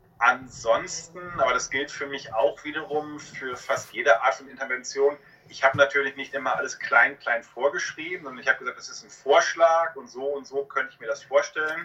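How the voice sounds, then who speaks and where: A man speaks at a moderate pace with hardly any pauses, his loudness swinging widely. Noticeable background noise runs underneath. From Westphalia, Germany (Hamm). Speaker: psychologist, author and university lecturer. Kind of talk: interview.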